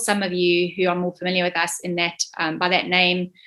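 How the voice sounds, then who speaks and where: A woman with a South African accent speaks at a medium pitch and moderate pace in a bright, sharp tone. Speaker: state manager of an industry body. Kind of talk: online info session presentation. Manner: hesitant, many fillers.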